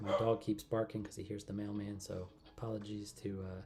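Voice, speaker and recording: A flat, monotone delivery against noticeable background noise. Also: man. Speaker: miniature painting streamer. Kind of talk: live stream tutorial. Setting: home livestream. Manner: relaxed, meandering; quiet at times.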